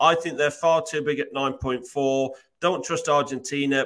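A man with an unremarkable speaking voice, fairly high-pitched, at a moderate pace and with fairly even intonation. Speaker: sports betting tipster. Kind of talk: casual chat.

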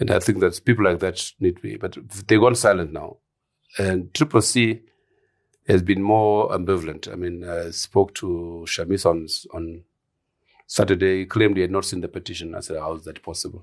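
A man with a very deep, low voice speaks at a moderate pace, his intonation fairly even but his loudness swinging widely. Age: 70s. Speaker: political analyst.

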